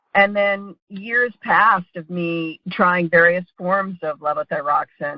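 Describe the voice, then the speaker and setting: A plain, everyday voice from a woman, fairly low in pitch, with fairly even intonation at a moderate pace. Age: 60s. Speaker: thyroid patient. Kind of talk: testimony.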